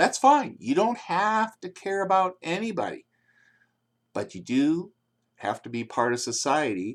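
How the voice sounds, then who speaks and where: Very wide pitch swings from a man with a high pitch, speaking at a fairly slow pace with long, frequent pauses, on a very clean recording with a silent background. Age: old. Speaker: plastic surgeon. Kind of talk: tutorial. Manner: loud.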